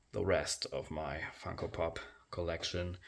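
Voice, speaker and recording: At a very slow pace, a man with a very deep, low pitch speaks in a German accent. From Germany. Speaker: action figure collector. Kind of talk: room tour video. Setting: basement. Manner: halting, many fillers.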